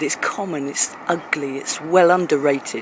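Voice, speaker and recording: Moderate pace from a woman with an American accent, with noticeable background noise. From England. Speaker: performance poet. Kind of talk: spoken word poetry performance. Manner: rhythmic.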